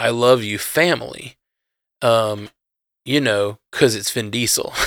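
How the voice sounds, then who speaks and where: At a fairly slow pace, a man with a Southern US accent speaks at a medium pitch. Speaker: podcast host. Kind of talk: casual chat. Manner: casual, rambling.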